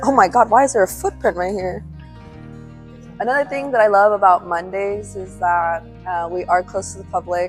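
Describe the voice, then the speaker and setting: A woman's voice at a moderate pace with music in the background. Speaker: museum exhibits preparator. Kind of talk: casual talk to camera, workplace tour.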